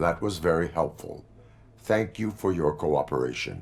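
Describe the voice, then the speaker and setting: This man uses a put-on character voice pitched very deep and low. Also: moderate pace. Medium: video game. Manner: flat, measured.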